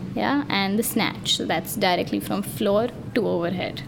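Someone talks at a fairly slow pace with noticeable background noise. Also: woman. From India. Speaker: powerlifter. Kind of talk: casual chat.

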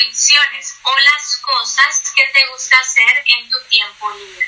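Speaking very slowly in a raised, projected voice, a woman has a Valle del Cauca Colombian accent and a high pitch. Her pitch varies in an ordinary way, and noticeable background noise is present. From Colombia, Valle del Cauca. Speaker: online Spanish tutor. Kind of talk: language practice conversation. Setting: video call. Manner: slow, simplified speech for a learner.

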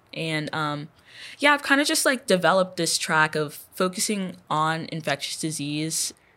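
A woman talks in a normal speaking voice with an American accent, at a fairly low pitch with ordinary pitch variation. Her pace is moderate and the recording is very clean with a silent background. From Texas, Houston. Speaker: undergraduate researcher. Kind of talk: interview.

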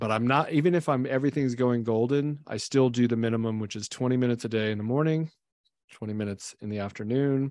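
With an unremarkable speaking voice, a man talks fairly quickly at medium pitch, his intonation fairly even against a quiet background. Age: 40s. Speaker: business owner, company CEO. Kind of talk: casual chat.

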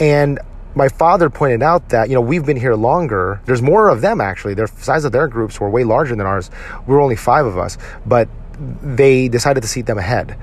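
With noticeable background noise behind him, a man talks at a fairly quick pace and medium pitch, using lively intonation. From US, son of Filipino immigrants. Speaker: podcast host. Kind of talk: solo monologue.

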